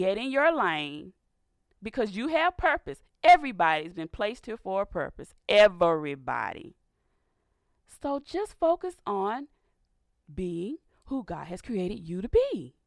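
A woman with an American accent at a fairly slow pace, medium in pitch with very wide pitch swings and big swings in loudness, in a dry, close sound with no echo. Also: very clean recording, silent background. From US South, Georgia. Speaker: radio host. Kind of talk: religious talk radio monologue with prayer. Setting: studio. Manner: animated.

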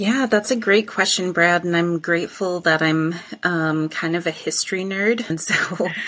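Over noticeable background noise, a speaker with an American accent talks at a moderate pace, the pitch varying in an ordinary way. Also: woman, fairly low pitch for a woman. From Wisconsin. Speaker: farm manager. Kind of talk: interview.

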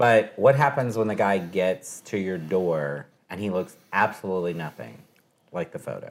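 With an American accent, a man talks at a moderate pace in a very deep, low pitch, his intonation lively and his loudness swinging widely. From Texas. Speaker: radio host. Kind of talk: casual chat. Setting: at his home.

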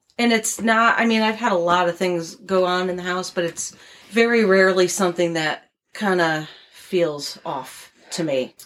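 A woman with a plain, everyday voice speaks at a medium pitch with an American accent, ordinary pitch variation, and a moderate pace. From Connecticut, US. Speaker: guest. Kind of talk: casual chat, storytelling.

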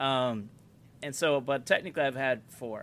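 A man's plain, everyday voice at medium pitch and moderate pace. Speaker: podcast co-host. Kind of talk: casual banter, crude humor. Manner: profane, joking.

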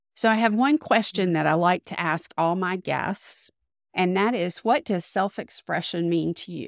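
In a very clean recording with a silent background and a dry, close sound with no echo, a woman with an unremarkable speaking voice talks at medium pitch with ordinary pitch variation and a fairly slow pace. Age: 60s. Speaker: podcast host. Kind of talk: interview, casual conversation. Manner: warm, upbeat.

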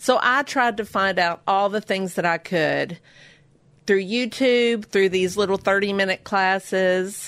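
In a plain, everyday voice, a woman speaks at a fairly slow pace and medium pitch with very even loudness against a quiet background. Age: 50s. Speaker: baker and small business owner. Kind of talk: interview.

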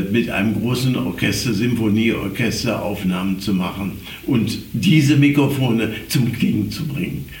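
A man at a very slow pace, amid noticeable background noise and audible room echo. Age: 80s+. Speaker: scooter enthusiast. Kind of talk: casual chat.

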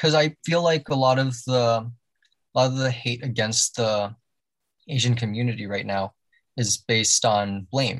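A man with a Canadian accent speaks at a fairly slow pace. His voice is somewhat breathy. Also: medium pitch for a man, ordinary pitch variation, dry, close sound with no echo. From Canada, Toronto. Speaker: podcast guest. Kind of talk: casual chat.

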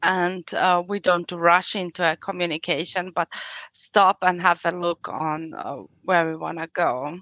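Against a quiet background, a woman with a slight European accent speaks at a fairly slow pace in a bright, sharp tone, fairly low in pitch with monotone, flat intonation, the sound dry and close with no echo. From Austria. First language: German. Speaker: psychological counselor and coach. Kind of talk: interview. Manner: halting, many fillers.

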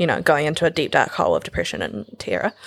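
Speaking rather quickly, a woman talks with a New Zealand accent. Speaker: fashion designer and stylist. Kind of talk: casual chat.

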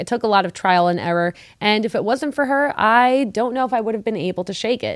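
In a very clean recording with a silent background, a woman with a fairly high voice talks at a very fast pace with lively intonation. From Mexico. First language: Spanish. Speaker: podcast co-host. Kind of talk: casual chat.

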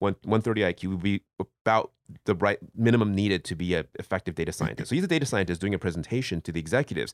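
This is a man with an unremarkable speaking voice, fairly low-pitched with ordinary pitch variation. The recording is very clean with a silent background, and the sound is dry and close with no echo. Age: 40s. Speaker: returning podcast guest. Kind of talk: casual chat.

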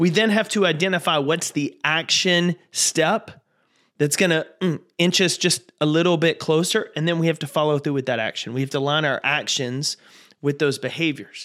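In a very clean recording with a silent background, a man with a fairly high pitch talks at a moderate pace in an animated, upbeat tone with ordinary pitch variation. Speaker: podcast host and motivational speaker. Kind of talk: motivational pep talk. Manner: warm, urgent, coaching tone; rallying and direct address; animated, upbeat and encouraging.

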